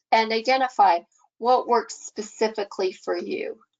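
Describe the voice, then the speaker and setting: A plain, everyday voice from a woman, fairly high-pitched, with ordinary pitch variation. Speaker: pharmacist presenter. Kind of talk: webinar presentation.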